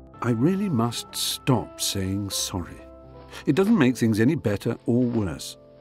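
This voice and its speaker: Over music in the background, a man at medium pitch talks fairly slowly with lively intonation. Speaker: author. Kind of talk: memoir audiobook reading.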